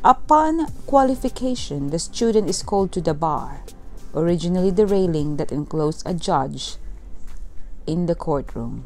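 Music plays in the background while a woman speaks at a fairly low pitch. Her pace is fairly slow, and her intonation is lively. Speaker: tour narrator. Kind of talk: documentary narration.

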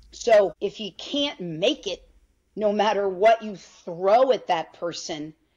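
A woman speaks with lively intonation. She has a plain, everyday voice. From New York. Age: 50s. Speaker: physician (OB-GYN); interview guest. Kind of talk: interview. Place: home room. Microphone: video call.

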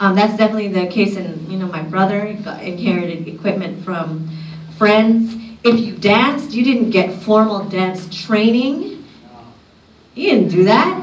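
A woman with an American accent at a moderate pace, ordinary pitch variation, audible room echo and noticeable background noise. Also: medium pitch for a woman. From Union City, California. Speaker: sociology professor. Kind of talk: conference talk. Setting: stage with audience. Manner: animated.

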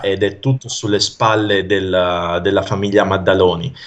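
A man speaks at a moderate pace in a fairly low pitch, an unremarkable speaking voice. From northern Italy, Pavia area (Lombardy); Lombardy. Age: 30s. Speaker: mnemonist and stage performer; interview guest. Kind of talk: casual interview chat. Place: home room. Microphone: video call.

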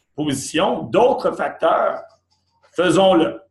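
A man's very slow speech, with audible room echo and a quiet background. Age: 50s. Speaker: company executive; presenter. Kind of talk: sales pitch. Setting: office. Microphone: video call.

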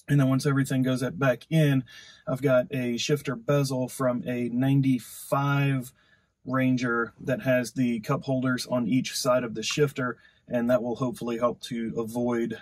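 With fairly even intonation, a man keeps to a moderate pace. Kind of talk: tutorial. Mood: relaxed, friendly. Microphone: camera far.

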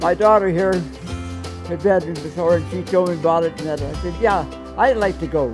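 A man speaks at a fairly quick pace. Clear music can be heard behind him. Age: 80s+. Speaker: retired logger and mechanic. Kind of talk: interview answer. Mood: cheerful, storytelling. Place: garden.

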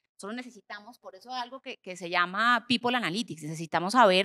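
A woman speaks with a bright, sharp tone and lively intonation. Her pace is moderate against a quiet background. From Colombia. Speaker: HR executive, panelist; panelist. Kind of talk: panel discussion on stage. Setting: conference stage with audience. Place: stage. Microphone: handheld.

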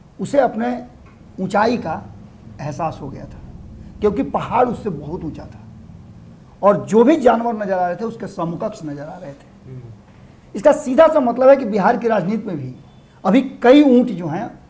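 Audible room echo surrounds a man speaking at a high pitch with very wide pitch swings. His loudness swings a lot, and his pace is fairly slow. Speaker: political commentator. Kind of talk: political analysis.

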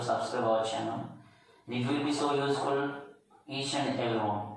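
Strong room echo surrounds a man speaking with ordinary pitch variation. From India. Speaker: English communication skills teacher. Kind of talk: lecture. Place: classroom.

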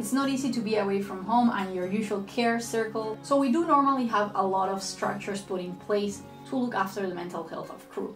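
Clear music plays in the background while a woman talks with audible room echo. Her pace is fairly quick and her pitch variation ordinary. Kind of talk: casual vlog talk. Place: home room.

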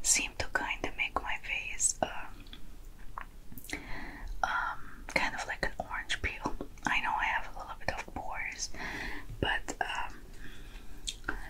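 A woman whispers. She goes at a very slow pace. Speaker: ASMR makeup roleplay host. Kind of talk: soft roleplay tutorial chat.

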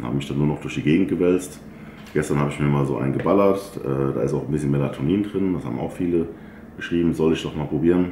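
A man's very deep, low voice at a very fast pace, with ordinary pitch variation, audible room echo and light background noise. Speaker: bodybuilder vlogger. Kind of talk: casual vlog chat. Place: home room.

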